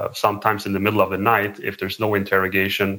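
A man speaks with fairly low pitch. His intonation is monotone and flat. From Sweden. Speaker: human rights activist. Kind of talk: interview.

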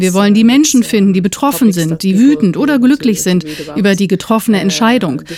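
Over noticeable background noise, a woman talks at a fairly quick pace with medium pitch and lively intonation. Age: 30s. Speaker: newspaper editor. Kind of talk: interview. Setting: outdoors.

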